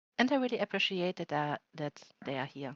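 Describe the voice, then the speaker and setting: Over a quiet background, a woman with a fairly low pitch talks at a fairly quick pace, the sound dry and close with no echo. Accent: non-native. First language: not English. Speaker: event moderator. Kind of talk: live event moderation, prepared opening remarks. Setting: virtual world event streamed live.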